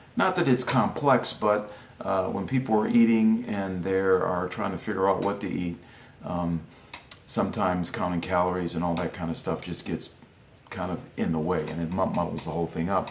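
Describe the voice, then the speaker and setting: A man's very deep, low voice at a moderate pace with ordinary pitch variation, over noticeable background noise. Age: 50s. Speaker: former world champion wrestler and coach. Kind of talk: instructional talk. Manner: hesitant, many fillers.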